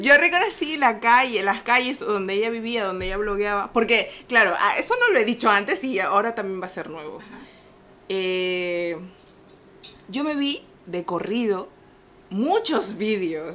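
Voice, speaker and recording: A woman with a fairly high pitch and lively intonation speaks at a fairly slow pace, her loudness swinging widely. Long, frequent pauses and noticeable background noise fill the clip. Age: 20s. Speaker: podcast co-host. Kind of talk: casual chat. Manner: animated.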